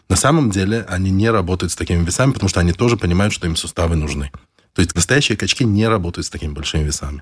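Rushing at a very fast pace, a man with a very deep, low, somewhat breathy voice shows ordinary pitch variation. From Belarus (Mogilev), Soviet Union. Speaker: fitness trainer and rabbi. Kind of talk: casual interview chat.

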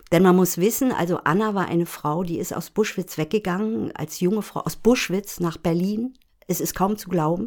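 This is an ordinary speaking voice at a moderate pace with ordinary pitch variation. The recording is very clean, with a silent background. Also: woman, medium pitch for a woman. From Rügen, northeastern Germany. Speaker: podcast co-host, screenwriter. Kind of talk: casual conversation.

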